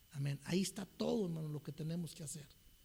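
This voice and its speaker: Fairly even intonation from a man with a fairly high pitch, at a moderate pace. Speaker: preacher. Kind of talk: sermon.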